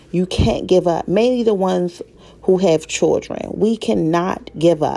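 A woman with an American accent speaks fairly slowly in an animated tone at a medium pitch, with ordinary pitch variation and very even loudness. There is noticeable background noise. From Baltimore, Maryland. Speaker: podcast host. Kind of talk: solo motivational monologue.

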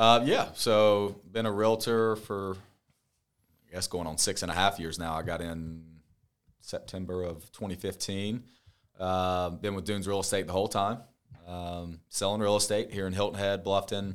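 On a very clean recording with a silent background, a man with a normal speaking voice and an American accent talks at a moderate pace, fairly low in pitch and fairly even in intonation. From upstate South Carolina (Spartanburg). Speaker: real estate agent and podcast co-host. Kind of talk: casual chat. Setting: office at a marina.

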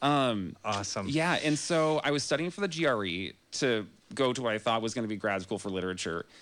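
A man with an American accent in a normal speaking voice, medium in pitch, lively in intonation, at a fairly quick pace, on a very clean recording with a silent background. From Northern California (Grass Valley). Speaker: personal trainer. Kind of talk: casual chat. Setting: studio.

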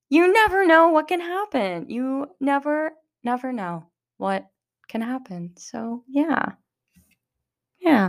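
A woman's high voice with very wide pitch swings, very slow pace and long, frequent pauses. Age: 20s. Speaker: podcast host. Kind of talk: personal monologue. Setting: home room alone. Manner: halting; laughing.

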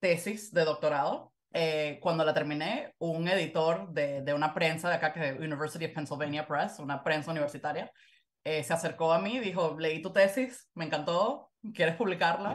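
With a normal speaking voice, a woman talks at a moderate pace in a fairly low pitch. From Venezuela. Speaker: historian and author. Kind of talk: interview.

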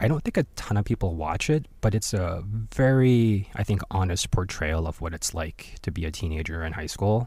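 A somewhat breathy man with a Korean accent, a dark, mellow tone, fairly low pitch and lively intonation, in a very clean recording with a silent background. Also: moderate pace. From born in Korea, raised overseas. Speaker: podcast host. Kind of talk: casual solo commentary.

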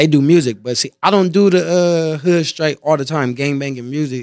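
In an American accent, a man speaks in a plain, everyday voice, fairly high-pitched with lively intonation at a moderate pace, on a very clean recording with a silent background. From Compton, California. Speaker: rapper and entrepreneur. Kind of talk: casual interview chat.

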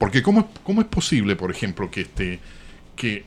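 A man speaks at a fairly quick pace. There is a very clean recording with a silent background. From Chile. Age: 60s. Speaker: journalist. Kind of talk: interview. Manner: hesitant with fillers.

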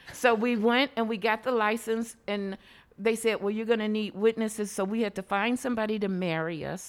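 A woman speaks at a moderate pace and medium pitch with fairly even intonation, an ordinary speaking voice. The recording is very clean, with a silent background. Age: 60s. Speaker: LGBTQ senior advocate. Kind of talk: interview. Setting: studio.

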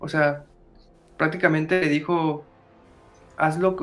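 Very slowly and in a monotone, flat delivery, a man with a Mexican accent talks at a fairly high pitch. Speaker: podcast host. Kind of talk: casual chat. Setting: live stream.

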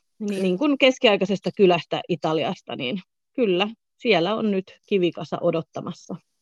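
At a moderate pace and with lively intonation, a woman talks in a plain, everyday voice at medium pitch, the sound dry and close with no echo against a quiet background. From southern Finland. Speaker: hotel manager. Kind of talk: interview.

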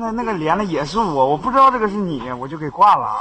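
A man talks at a very fast pace in a high voice, with lively intonation. Background noise is noticeable. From Shandong, China. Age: young. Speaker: caller. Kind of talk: casual chat. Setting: voice chat from an internet cafe. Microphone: too quiet.

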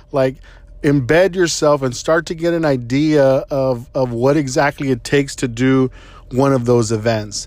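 Speaking at a moderate pace in a normal speaking voice, a man keeps a medium pitch and fairly even intonation. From Texas, San Antonio. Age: 30s. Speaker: podcast host, engineer. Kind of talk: casual advice monologue. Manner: conversational with frequent fillers.

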